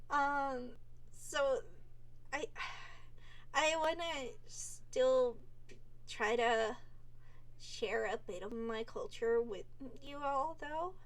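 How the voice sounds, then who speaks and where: A woman with a high pitch and lively intonation speaks at a very slow pace with long, frequent pauses, and audible room echo surrounds her voice. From Netherlands. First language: Dutch. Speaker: vtuber. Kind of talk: casual monologue. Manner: rambling, halting with repeated words.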